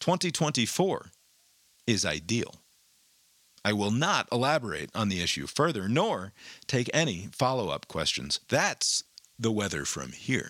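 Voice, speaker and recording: In a very clean recording with a silent background, a man with vocal fry talks at a fairly slow pace, with very wide pitch swings and long, frequent pauses. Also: medium pitch for a man. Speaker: news podcast host. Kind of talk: news reading with editorial commentary.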